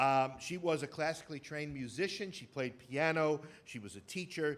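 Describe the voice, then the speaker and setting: With a New York accent, a man talks at a fairly high pitch. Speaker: theater presenter. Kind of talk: lecture to live audience. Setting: stage with audience. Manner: hesitant, many fillers.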